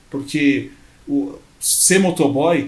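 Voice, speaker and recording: There is audible room echo around a man's speaking voice. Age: 30s. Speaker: entrepreneur, former motorcycle courier. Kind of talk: podcast interview.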